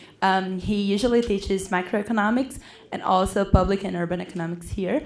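In a Portuguese accent, a woman speaks at a fairly quick pace over light background noise. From Brazil. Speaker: student moderator. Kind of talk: speaker introduction. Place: hall. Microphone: podium.

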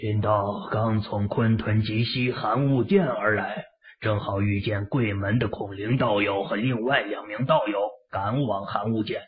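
Fairly low in pitch, a man speaks at a fairly slow pace with fairly even intonation. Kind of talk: classical wuxia formal speech. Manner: deferential, formal, cautious.

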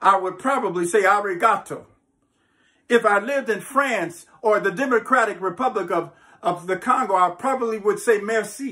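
A man's high pitch in a bright, sharp tone, at a moderate pace with ordinary pitch variation

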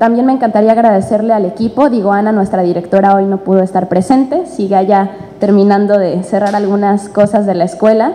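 Speech comes fairly quickly here, its pitch varying in an ordinary way. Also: woman. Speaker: actress presenting a play. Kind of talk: press conference statement. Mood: warm, grateful. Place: hall. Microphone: podium.

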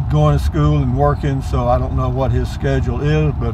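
Fairly even intonation at a moderate pace, with a dry sound, no echo, and noticeable background noise. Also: man. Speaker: driver vlogger. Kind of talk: casual vlog chat. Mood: relaxed, reflective. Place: car. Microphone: phone near.

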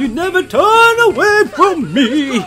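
A put-on character voice pitched extremely high, swinging very widely in pitch at a fairly slow pace. Clear background noise runs underneath. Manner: strong, stern.

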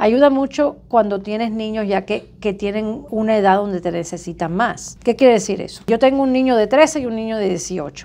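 A woman with a plain, everyday voice speaks at a moderate pace and a fairly high pitch, with hardly any pauses. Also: ordinary pitch variation. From Cuba. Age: 50s. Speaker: surgeon; interview guest. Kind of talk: interview. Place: office.

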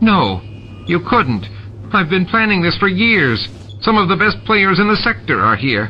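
Over clear background noise, a man uses a whiny, put-on character voice with a high pitch at a moderate pace. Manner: nervous, whining.

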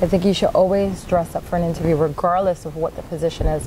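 A woman talking at a very fast pace, with light background noise. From New York. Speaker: nonprofit founder. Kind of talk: interview. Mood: warm, earnest. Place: studio.

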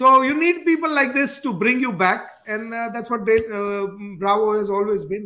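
A man's extremely high-pitched voice, bright and sharp in tone, at a moderate pace with ordinary pitch variation.

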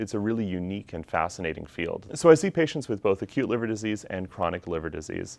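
A man with a Canadian accent talks at a very fast pace. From Canada, Calgary, Alberta. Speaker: physician. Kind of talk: self-introduction video. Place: classroom. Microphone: lapel.

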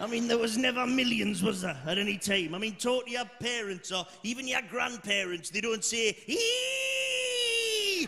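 With a Geordie accent, a man speaks in a raised, projected voice at a high pitch, with hardly any pauses. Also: ordinary pitch variation, fairly slow pace. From Newcastle, North East England. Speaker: stand-up comedian. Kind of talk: live stand-up comedy set. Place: stage. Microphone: handheld.

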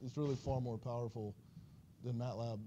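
The speaker talks at a fairly quick pace in a somewhat breathy voice over light background noise. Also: man. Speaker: university instructor. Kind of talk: lecture. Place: classroom.

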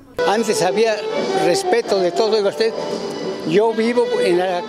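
At a fairly slow pace, a man talks while loud music fills the background. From Puebla, Mexico. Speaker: activist and army veteran. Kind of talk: interview answer. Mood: earnest, cheerful, reflective. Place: street. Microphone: handheld.

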